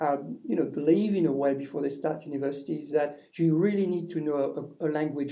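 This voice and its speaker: Here a man speaks at a moderate pace. His pitch is fairly high, with ordinary variation. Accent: French. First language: French. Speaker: university language lecturer. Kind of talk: webinar presentation. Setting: online webinar. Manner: hesitant with many fillers.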